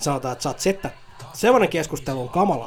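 Over noticeable background noise, a man talks with lively intonation in a fairly high voice. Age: 30s. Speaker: podcast host. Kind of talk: casual solo commentary. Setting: at home on a sofa. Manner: animated.

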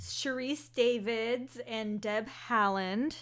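A woman speaks with an American accent in an ordinary speaking voice. Her pitch is fairly high. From Houston, Texas. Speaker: political podcast co-host. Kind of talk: casual chat.

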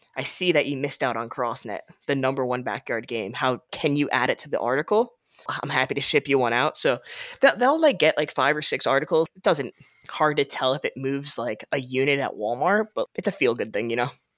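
A plain, everyday voice from a man, fairly high in pitch and fairly quick, with ordinary pitch variation, a dry, close sound with no echo, and a very clean recording with a silent background. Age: 20s. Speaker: podcast host and brand co-founder. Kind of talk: casual chat; podcast outro.

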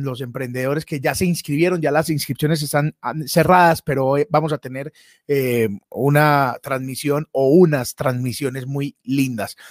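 A man with a normal speaking voice, fairly high in pitch, at a moderate pace, in a very clean recording with a silent background and a dry, close sound with no echo. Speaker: comedian and livestream host. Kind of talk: casual chat. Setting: live stream.

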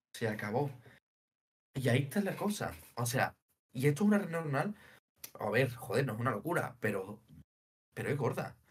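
A man with a medium-pitched, somewhat breathy voice talks fairly quickly with very wide pitch swings and long, frequent pauses. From Spain, Seville (Andalusia). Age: 20s. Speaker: data engineer. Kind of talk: casual interview.

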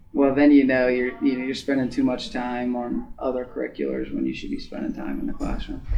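The speaker has an American accent and goes at a fairly quick pace with hardly any pauses, over noticeable background noise. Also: man. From US Midwest (Ada, Ohio). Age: 20s. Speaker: college wrestler and student. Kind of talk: casual interview.

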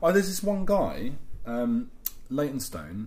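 This is a man with a London accent. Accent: English (London area). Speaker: podcast co-host. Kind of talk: casual chat. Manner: loud.

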